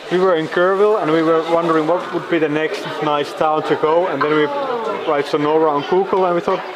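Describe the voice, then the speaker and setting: With audible room echo and crowd noise in the background, a man talks fairly quickly and fairly high in a flat monotone at very even loudness. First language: Finnish or Dutch. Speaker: travel vlogger. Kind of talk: travel vlog narration.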